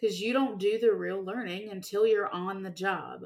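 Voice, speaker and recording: Here a woman talks with an unremarkable speaking voice. Her pitch is medium and her intonation fairly even. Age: 20s. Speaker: college and career life coach. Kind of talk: solo podcast monologue. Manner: casual, conversational.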